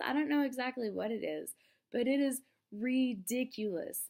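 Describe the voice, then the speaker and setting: Quiet and fairly slow, a woman speaks with lively intonation in a very clean recording with a silent background. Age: young. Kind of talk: casual talk to camera.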